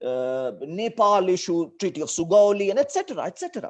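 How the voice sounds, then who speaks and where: Someone with a north Indian accent speaks at a fairly quick pace over a quiet background. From India, Delhi / Uttar Pradesh region. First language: Hindi. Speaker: teacher. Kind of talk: lecture.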